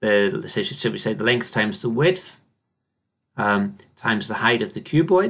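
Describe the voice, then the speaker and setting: The man's voice sits at medium pitch, shows vocal fry and moves through very wide pitch swings. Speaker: maths teacher. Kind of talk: tutorial. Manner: slow; halting.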